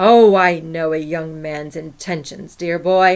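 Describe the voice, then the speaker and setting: Putting on a character voice, a woman speaks at a fairly slow pace with a fairly low pitch and fairly even intonation. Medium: read story. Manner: stubborn, dismissive.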